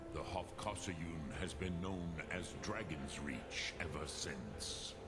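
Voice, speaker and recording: Over loud background noise, a man puts on a character voice with a very deep, low pitch at a fairly slow pace. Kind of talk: epic fantasy game voice acting. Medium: game stream. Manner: slow, measured, archaic.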